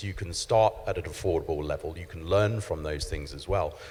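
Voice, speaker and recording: This man has a British accent and talks at a fairly quick speed. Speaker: panelist, media technology vendor. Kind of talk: panel discussion.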